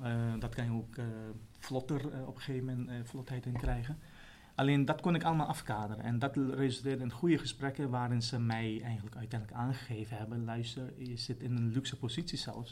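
Somewhat breathy, a man at medium pitch talks at a fairly quick pace with fairly even intonation. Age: 40s. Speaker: trainee primary school teacher. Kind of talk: interview. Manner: halting.

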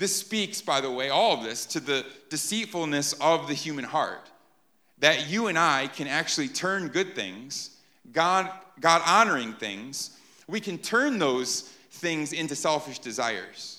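At a fairly slow pace, a man with a fairly high pitch and a bright, sharp tone speaks with lively intonation on a very clean recording with a silent background. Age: 30s. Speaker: pastor. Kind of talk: sermon.

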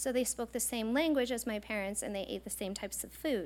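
A woman's plain, everyday voice with an American accent, fairly high in pitch with ordinary pitch variation, at a fairly quick pace on a very clean recording with a silent background. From eastern Montana, US. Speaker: professor. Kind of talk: lecture.

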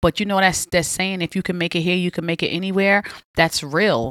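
A woman with a New York accent talks in an animated tone at a fairly low pitch. The recording is very clean with a silent background and a dry, close sound with no echo. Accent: Queens New York. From Southside Jamaica, Queens, New York City. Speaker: podcast host. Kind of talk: casual chat.

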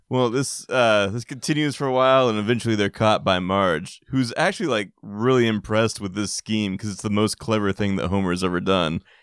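A man with an ordinary speaking voice talks at a fairly quick pace with hardly any pauses, his pitch fairly low and its variation ordinary. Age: 30s. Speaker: podcast co-host. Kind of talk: casual chat.

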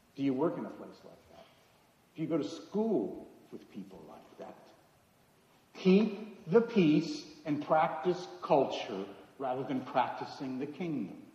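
In an American accent, the speaker moves at a moderate pace with lively intonation, big swings in loudness, and long, frequent pauses. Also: man. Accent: American, noticeable to locals. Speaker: preacher. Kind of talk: sermon. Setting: church.

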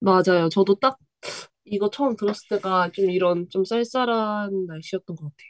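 Her sound dry and close with no echo, a woman uses an ordinary speaking voice at medium pitch and a moderate pace, with ordinary pitch variation and big swings in loudness. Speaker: graduate student and former college radio member. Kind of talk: casual chat. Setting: remote connection.

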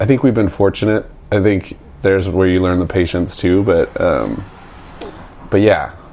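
Over noticeable background noise, a man speaks at a moderate pace in a fairly low pitch with ordinary pitch variation, very even loudness, and long, frequent pauses. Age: 30s. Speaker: music producer and label manager. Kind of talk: casual interview. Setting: at the speaker's place.

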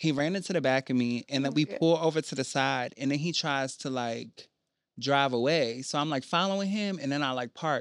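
Someone with an American accent talks at a fairly quick pace in a plain, everyday voice. Pitch varies in an ordinary way, and the sound is dry and close with no echo. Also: man, fairly high pitch for a man, quiet background. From rural Maryland Eastern Shore. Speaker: underground musician. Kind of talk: casual chat. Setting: studio.

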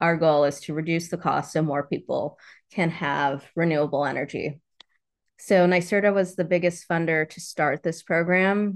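A woman with an American accent and a normal speaking voice, fairly even intonation, moderate pace, and a quiet background. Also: fairly low pitch for a woman. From New York, then Florida; Caribbean family. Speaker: solar nonprofit director. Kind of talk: interview.

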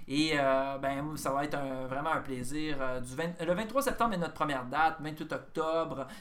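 Heard with audible room echo, a man talks at a fairly high pitch and a fairly slow pace with ordinary pitch variation. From Quebec, Bas-Saint-Laurent (Rimouski). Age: 50s. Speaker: comedian. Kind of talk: casual chat.

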